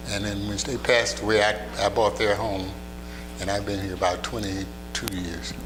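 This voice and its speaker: Through noticeable background noise and audible room echo, a man with a fairly low voice speaks at a moderate pace with lively intonation. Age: 80s+. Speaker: retired fashion designer. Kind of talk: interview. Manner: casual.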